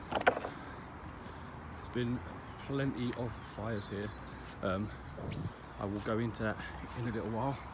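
A man speaks with long, frequent pauses over loud background noise. The sound is dry, with no echo. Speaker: urban explorer vlogger. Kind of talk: casual vlog chat. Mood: curious, slightly startled. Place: open country. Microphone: phone near.

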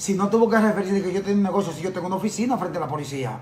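Amid light background noise and audible room echo, a man talks at a high pitch with ordinary pitch variation. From Dominican Republic. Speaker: journalist and lawyer; journalist, lawyer. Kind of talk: TV interview. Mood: defensive, indignant rebuttal. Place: office. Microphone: phone near.

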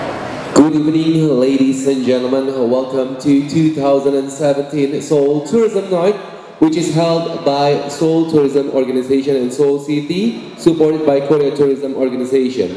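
A man speaks at a moderate pace with ordinary pitch variation. Room echo can be heard. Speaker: master of ceremony. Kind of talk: event emcee hosting. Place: hall.

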